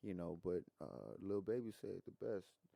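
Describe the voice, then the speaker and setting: A man speaks at a fairly low pitch with vocal fry, his dark, mellow tone carrying ordinary pitch variation in a dry, close sound with no echo. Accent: Louisiana. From Louisiana. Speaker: rapper. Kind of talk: podcast interview answer. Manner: casual, conversational.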